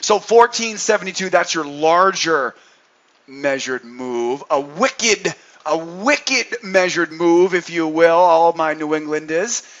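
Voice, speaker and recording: A man's high-pitched voice at a fairly slow pace. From New England. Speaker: day trading educator. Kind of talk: trading commentary. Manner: animated.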